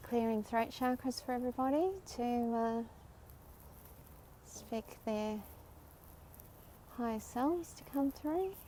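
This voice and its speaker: Speech in an Australian accent moves at a fairly slow pace with long, frequent pauses, ordinary pitch variation and big swings in loudness. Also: woman, high pitch for a woman. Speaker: spiritual livestreamer. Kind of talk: live stream commentary. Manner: animated.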